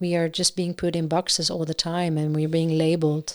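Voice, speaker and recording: With a Dutch accent, a woman talks at a moderate pace in a fairly low voice, her intonation monotone and flat. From Netherlands. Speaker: singer-songwriter. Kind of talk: casual chat. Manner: halting.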